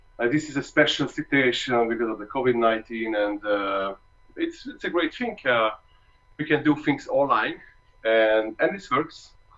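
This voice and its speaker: A man with a Hungarian accent speaks at medium pitch. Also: ordinary pitch variation, moderate pace. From Hungary. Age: 30s. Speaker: trombonist. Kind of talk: masterclass talk. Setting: video call. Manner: halting.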